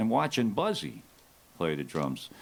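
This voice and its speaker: An American accent marks this man's speech. He keeps a moderate pace. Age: 60s. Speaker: rock drummer. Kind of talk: onstage interview.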